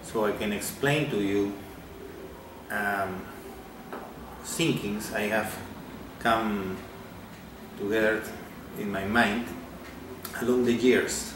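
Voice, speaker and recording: Speaking with a Peruvian accent at a very slow pace, a man with a fairly low pitch leaves long, frequent pauses. Noticeable background noise and audible room echo fill the recording. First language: Spanish. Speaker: amateur physics theorist. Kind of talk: video message. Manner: halting.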